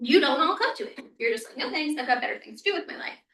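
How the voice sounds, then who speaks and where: A woman's raised, projected voice, bright and sharp in tone, with very wide pitch swings. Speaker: university health educator. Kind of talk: presentation to student senate. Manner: fast; casual, animated.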